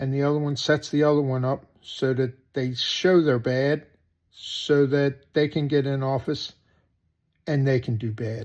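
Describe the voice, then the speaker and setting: With an American accent, a man speaks slowly-ish, at a fairly slow pace, in a medium pitch. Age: 60s. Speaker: political commentator vlogger. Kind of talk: opinion monologue. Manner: animated.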